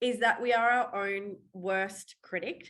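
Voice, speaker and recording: A woman in an Australian accent speaks at medium pitch with ordinary pitch variation. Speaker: waxing trainer and mindset coach. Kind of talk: webinar presentation. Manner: talkative.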